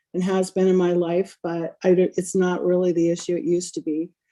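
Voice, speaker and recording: Speaking at a moderate pace, a woman of medium pitch holds a monotone, flat intonation and a dark, mellow tone. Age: 60s. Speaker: entrepreneur. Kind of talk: group call share.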